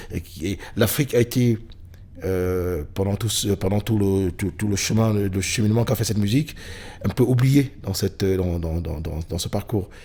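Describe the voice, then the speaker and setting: Somewhat breathy and fairly low in pitch, a man with a Cameroonian accent speaks at a moderate pace with ordinary pitch variation. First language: Bamileke (speaking French). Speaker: blues musician. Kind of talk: interview. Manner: halting, many fillers.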